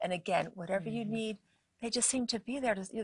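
Somewhat breathy speech at a very fast pace, with ordinary pitch variation and a dry, close sound with no echo. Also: woman. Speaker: natural medicine doctor and author. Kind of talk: interview on a faith-based show.

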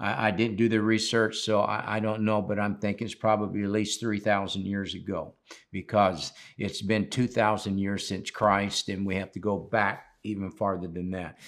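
A man speaks at a moderate pace with a fairly low pitch. It is an ordinary speaking voice, captured in a very clean recording with a silent background. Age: 60s. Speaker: pastor. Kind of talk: sermon.

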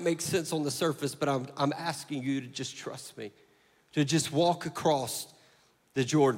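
An animated man with a Southern US accent at a moderate pace. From US South. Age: 30s. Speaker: pastor. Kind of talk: sermon. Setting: church.

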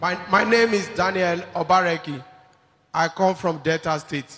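With a Nigerian accent, a man speaks at a fairly slow pace, his high pitch held in fairly even intonation. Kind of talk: testimony. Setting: church.

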